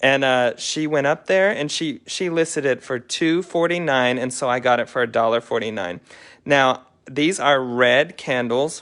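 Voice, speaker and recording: A normal speaking voice from a man, fairly high in pitch, with ordinary pitch variation at a moderate pace and a quiet background. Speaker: thrift reseller and channel host. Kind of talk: live haul show-and-tell. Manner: casual, chatty.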